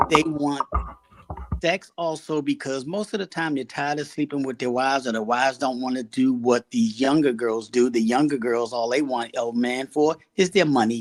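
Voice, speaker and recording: A man talks in an ordinary speaking voice at a medium pitch. The sound is dry and close, with no echo. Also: ordinary pitch variation, moderate pace. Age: 60s. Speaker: podcast panelist. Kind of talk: casual panel debate.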